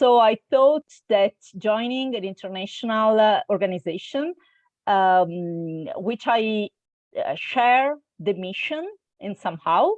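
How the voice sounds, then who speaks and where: A woman with an Italian accent, a fairly high pitch, lively intonation and a very slow pace. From Italy, Milan. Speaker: intercultural trainer. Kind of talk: interview. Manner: hesitant, many fillers.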